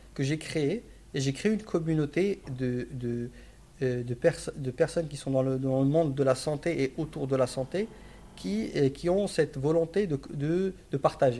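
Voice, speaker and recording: A man's fairly high-pitched voice with a dark, mellow tone, ordinary pitch variation and a fairly slow pace. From Morocco. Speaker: strategy consultant. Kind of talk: casual interview. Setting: office. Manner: halting, many repetitions.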